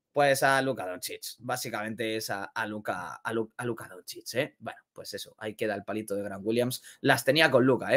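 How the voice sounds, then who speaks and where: Against a quiet background, a man speaks at a medium pitch and a fairly quick pace. He barely pauses, and his loudness swings widely. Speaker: NBA YouTuber; NBA news streamer. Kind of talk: sports commentary video. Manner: animated. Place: home room.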